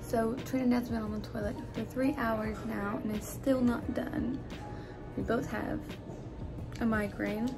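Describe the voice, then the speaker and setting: A woman speaks at a fairly slow pace over clear music in the background. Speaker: caregiver vlogger. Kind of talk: casual vlog chat. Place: home room. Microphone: phone near.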